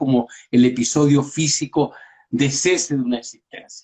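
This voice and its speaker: A man speaks with a Chilean accent. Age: 60s. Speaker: pediatrician. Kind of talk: casual chat.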